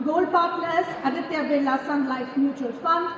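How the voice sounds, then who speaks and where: A woman speaks with ordinary pitch variation in a room with audible echo and noticeable background noise. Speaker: event anchor. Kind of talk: event hosting. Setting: stage with audience. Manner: formal.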